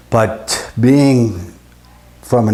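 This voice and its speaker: The voice is somewhat breathy with a dark, mellow tone. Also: man. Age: 70s. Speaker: retired electrical engineer, patient. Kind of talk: testimony. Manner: halting, frequent uh fillers.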